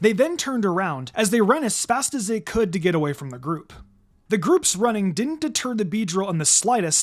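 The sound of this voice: With lively intonation, the clip offers an unforced reading voice.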